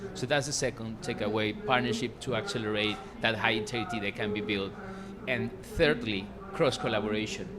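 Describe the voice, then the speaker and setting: Over noticeable background noise and audible room echo, a man talks at a fairly quick pace with a medium pitch and ordinary pitch variation. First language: Spanish. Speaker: researcher and panelist. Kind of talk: panel discussion. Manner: halting.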